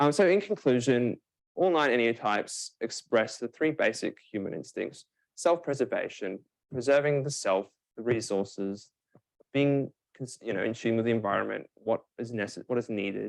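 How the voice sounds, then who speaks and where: Using a normal speaking voice, a man at a middle pitch speaks with lively intonation and a medium tempo. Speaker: presenter. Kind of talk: lecture. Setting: live session with online and in-person audience. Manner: many fillers.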